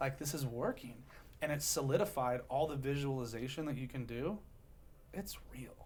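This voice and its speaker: A man with an American accent speaks at medium pitch. His pace is moderate and his voice has vocal fry. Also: ordinary pitch variation. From US West Coast, Long Beach, California. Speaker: real estate investor and keynote speaker. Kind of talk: podcast interview. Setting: studio. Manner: animated.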